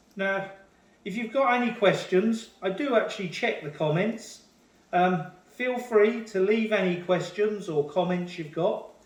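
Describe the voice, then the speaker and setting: A man with a British accent and a high pitch speaks at a moderate pace with ordinary pitch variation, with audible room echo. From UK. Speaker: home cook. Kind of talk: cooking tutorial. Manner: halting, with fillers and repeated words.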